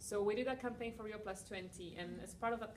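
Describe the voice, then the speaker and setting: In a Spanish accent, the speaker talks at a fairly quick pace with fairly even intonation, amid noticeable background noise and audible room echo. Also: woman. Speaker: environmental NGO founder. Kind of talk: conference talk and Q&A. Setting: breakout session with students. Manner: casual, many fillers.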